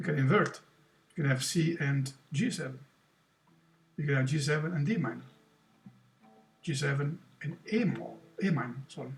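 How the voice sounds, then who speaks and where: A man's fairly high voice with an Italian accent and vocal fry, ordinary pitch variation, a moderate pace, and long, frequent pauses. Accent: Italian accent, non-native English. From Italy. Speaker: guitar teacher. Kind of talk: tutorial. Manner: halting, with repetitions and self-corrections.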